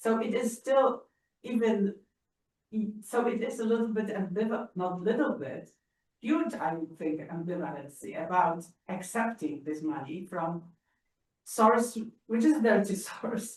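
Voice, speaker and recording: A woman with a Polish accent, somewhat breathy and fairly high in pitch, with lively intonation and long, frequent pauses. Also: fairly slow pace. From Poland. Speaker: audience member. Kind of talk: audience question. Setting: library auditorium. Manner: halting.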